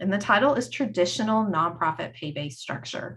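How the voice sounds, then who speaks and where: In a North Carolina accent, a woman speaks at a moderate pace with very wide pitch swings and audible room echo. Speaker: HR consultant. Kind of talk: conference presentation. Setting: screen-shared online presentation.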